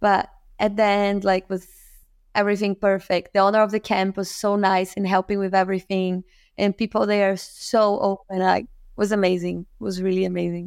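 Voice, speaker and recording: The voice comes in a Portuguese accent with monotone, flat intonation. The sound is dry and close, with no echo. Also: woman, medium pitch for a woman, moderate pace, very clean recording, silent background. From Brazil, Rio de Janeiro. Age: 30s. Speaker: professional kiteboarder. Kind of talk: casual interview.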